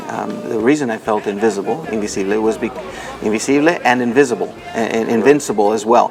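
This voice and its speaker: Fairly even intonation and a fairly quick pace come through over crowd noise in the background. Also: man. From Nicaragua, then Washington DC from age six. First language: Spanish. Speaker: foundation president. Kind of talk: interview.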